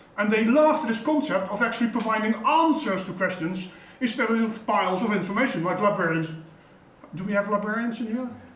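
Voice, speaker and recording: Audible room echo and noticeable background noise surround speech delivered at a fairly quick pace with ordinary pitch variation. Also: man, high pitch for a man. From Netherlands. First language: Dutch. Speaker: intelligence practitioner, conference presenter. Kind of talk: conference presentation. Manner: hesitant, with frequent fillers.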